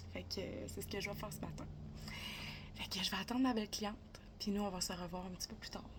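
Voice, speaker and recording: A woman speaks with a Quebec accent. Noticeable background noise runs underneath. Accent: Québécois French. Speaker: vlogger and beauty technician. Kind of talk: casual vlog talk to camera. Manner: fast.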